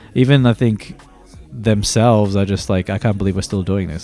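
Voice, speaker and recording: Music plays in the background as a man with an Australian accent talks at a moderate pace, with a fairly low pitch and ordinary pitch variation. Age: 30s. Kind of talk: casual podcast talk. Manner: casual, rambling, with swearing.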